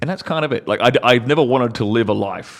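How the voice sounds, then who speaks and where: The speaker has an Australian accent, a fairly quick pace and ordinary pitch variation. The recording is very clean, with a silent background. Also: man. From Australia, outback. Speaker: former adult film actor turned entrepreneur. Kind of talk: casual chat.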